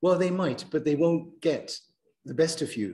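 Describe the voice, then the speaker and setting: Somewhat breathy, with a dark, mellow tone, a man's voice moves along at a moderate speed. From Germany. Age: 60s. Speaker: university lecturer. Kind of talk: lecture.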